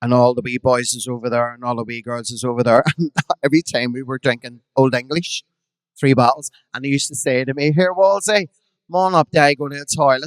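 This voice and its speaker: A man speaks at a fairly quick pace and a medium pitch, with ordinary pitch variation, big swings in loudness, and a dry, close sound with no echo. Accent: Belfast. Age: 50s. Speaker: drag performer. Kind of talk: storytelling on a live podcast. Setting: stage with audience.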